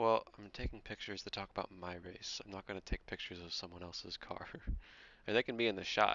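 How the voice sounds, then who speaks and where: A soft-spoken man talks at a very fast pace. His pitch is fairly low and his intonation fairly even. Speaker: sim racing streamer. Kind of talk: casual live stream chat. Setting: live stream, also on voice chat. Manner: casual. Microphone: quiet, headset mic boosted.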